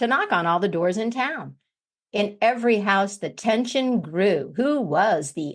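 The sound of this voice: With a quiet background, the speaker uses an unforced reading voice.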